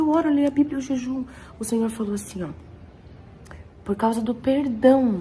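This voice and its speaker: A woman speaks with a high pitch. Her delivery has long, frequent pauses. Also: ordinary pitch variation, moderate pace. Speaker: churchgoer sharing testimony. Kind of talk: testimony.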